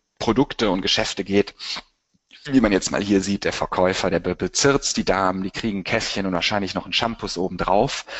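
His pitch moves in an ordinary way. It sits fairly low, and the speaker is a man. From Germany, Cologne. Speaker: marketing agency director. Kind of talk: webinar presentation. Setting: webinar. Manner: animated.

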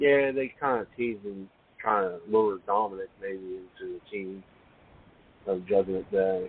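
This man has an ordinary speaking voice, fairly low in pitch with ordinary variation, moving at a moderate pace with big swings in loudness. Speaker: caller. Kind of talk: casual chat. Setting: phone call.

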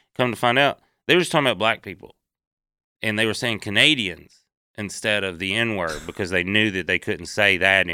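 Captured on a very clean recording with a silent background, a man with a Southern US accent talks at a fairly quick pace in a bright, sharp tone. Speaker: comedian. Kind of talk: casual chat.

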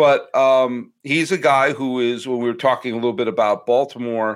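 Using a plain, everyday voice, a man of medium pitch speaks at a moderate pace. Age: 40s. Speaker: baseball podcaster. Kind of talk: casual chat.

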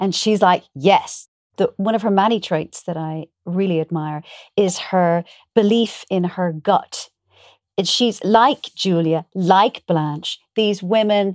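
Recorded dry and close with no echo, a woman with an Irish accent speaks very slowly at a medium pitch with ordinary pitch variation. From Ireland. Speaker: actor. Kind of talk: casual interview.

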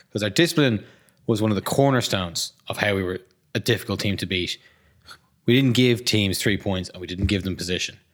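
Someone with an Irish accent talks very fast with ordinary pitch variation. The recording is very clean, with a silent background. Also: man. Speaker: rugby podcast host. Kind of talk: casual chat.

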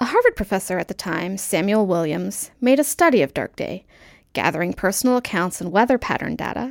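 Against a silent background in a very clean recording, a woman with an unremarkable speaking voice talks at a medium pitch with lively intonation, the sound dry and close with no echo. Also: fairly quick pace. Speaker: segment presenter. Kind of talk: scripted narration.

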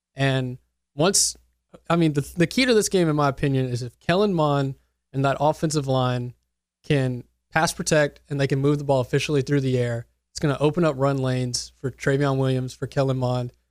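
A man's unremarkable speaking voice with an American accent, fairly high in pitch, at a fairly quick pace with fairly even intonation, on a very clean recording with a silent background. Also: dry, close sound with no echo. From Mississippi, later West Texas from 14. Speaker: sports radio producer and reporter. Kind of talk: casual sports chat.

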